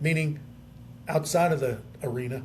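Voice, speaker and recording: A man with an American accent speaks at a moderate pace with a fairly high pitch and ordinary pitch variation, with audible room echo around him. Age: 60s. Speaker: radio sports talk host. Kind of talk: casual chat. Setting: hotel.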